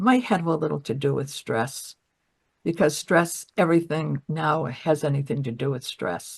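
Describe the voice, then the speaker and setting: A woman speaks with a very deep, low pitch and a somewhat breathy quality. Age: 80s+. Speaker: patient sharing health story, former actor. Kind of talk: interview testimony. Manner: halting.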